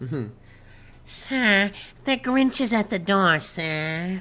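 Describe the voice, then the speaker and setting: A put-on character voice at a middle pitch, very slow in pace. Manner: sniveling, servile.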